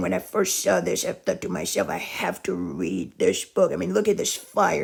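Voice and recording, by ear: A man's raspy voice with vocal fry and a slightly husky edge.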